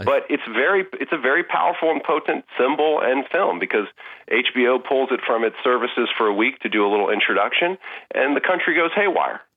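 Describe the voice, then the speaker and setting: A man with an American accent and a fairly high pitch talks at a fairly quick pace with lively intonation and very even loudness, a normal speaking voice. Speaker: film writer. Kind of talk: interview.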